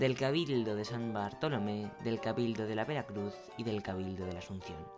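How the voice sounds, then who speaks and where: Over music in the background, a man with a fairly low pitch talks at a moderate pace with lively intonation. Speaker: radio presenter. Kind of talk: local history narration.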